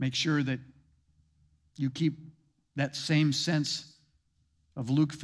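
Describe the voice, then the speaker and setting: On a very clean recording with a silent background, a man with a fairly high pitch speaks at a moderate pace. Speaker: founding pastor. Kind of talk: sermon with pep-talk charge to successor. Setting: church. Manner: warm, animated, encouraging.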